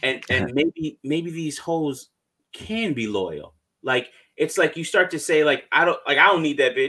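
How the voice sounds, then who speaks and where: Speaking at a fairly slow pace, a man with a fairly high pitch and a bright, sharp tone shows vocal fry and lively intonation. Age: 30s. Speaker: MGTOW channel host. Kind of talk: casual chat. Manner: halting.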